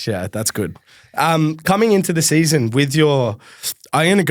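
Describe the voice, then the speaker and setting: A man with an Australian accent on a very clean recording against a silent background. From Melbourne, Australia. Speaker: podcast host. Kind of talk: casual interview chat. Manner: fast.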